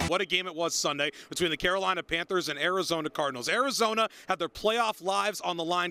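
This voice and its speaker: A man talks at a very fast pace in a raised, projected voice with a bright, sharp tone and a high pitch. His pitch varies in an ordinary way, and the recording is very clean with a silent background. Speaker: sports anchor and reporter. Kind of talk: TV news standup reporting.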